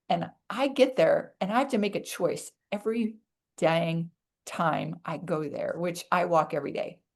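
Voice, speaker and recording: Lively intonation marks a woman's unremarkable speaking voice as she talks at a moderate pace. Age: 60s.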